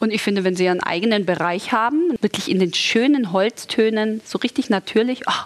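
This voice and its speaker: A woman with a fairly high voice, a fairly quick pace, an animated tone and lively intonation, over noticeable background noise. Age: 40s. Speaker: model and TV presenter, mother of two. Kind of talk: sponsored casual chat about tidying kids' rooms. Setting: studio set styled as a children's room.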